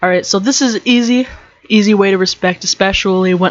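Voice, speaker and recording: A woman talks at a moderate pace. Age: 20s. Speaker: podcast host. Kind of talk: casual rant podcast. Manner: animated.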